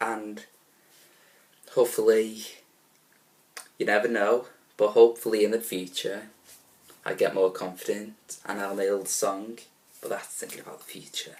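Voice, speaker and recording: At a moderate pace, a man with a fairly low voice talks in a flat monotone, leaving long, frequent pauses as his loudness swings widely. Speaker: musical theatre student vlogger. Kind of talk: vlog.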